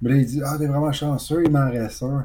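A man speaks at a moderate pace, his tone dark and mellow. His voice is somewhat breathy. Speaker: video game podcast co-host. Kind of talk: casual chat.

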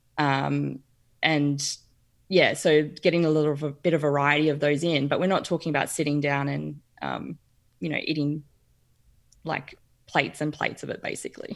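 In an Australian accent, a woman speaks at a moderate pace with long, frequent pauses. Her voice is very deep and low, with monotone, flat intonation. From Brisbane, Queensland. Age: 40s. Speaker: nutritional therapy practitioner. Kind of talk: casual interview chat. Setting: video call.

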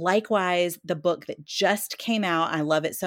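This is a normal speaking voice: a woman, fairly low in pitch, at a moderate pace. Her pitch varies in an ordinary way, and the recording is very clean with a silent background. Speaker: bookseller. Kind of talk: casual chat.

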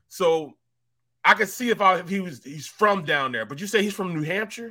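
A man with an American accent uses a raised, projected voice at a high pitch, with a bright, sharp tone. His intonation is lively, his loudness swings widely, and his pace is moderate. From St. Louis, Missouri. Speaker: sports podcast host. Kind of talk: casual chat.

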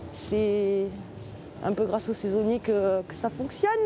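Noticeable noise sits in the background. A woman speaks over it at a moderate speed. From southern France, Marseille. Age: 30s. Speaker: seasonal worker. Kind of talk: casual interview.

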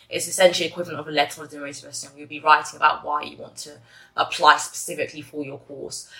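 A woman with an English accent. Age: 20s. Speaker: university student. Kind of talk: interview. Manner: hesitant, many fillers.

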